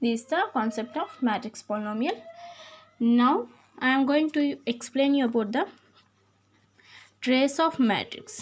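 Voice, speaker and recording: A woman's high-pitched voice at a fairly slow pace, with lively intonation. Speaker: maths teacher. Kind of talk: lecture.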